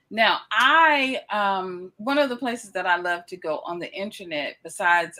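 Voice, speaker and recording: A woman speaks with a Southern US accent at a fairly slow pace, her bright, sharp tone carried by lively intonation on a very clean recording with a silent background. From US South, Batesville, Mississippi. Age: 50s. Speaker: interviewer, channel host. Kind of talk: casual interview.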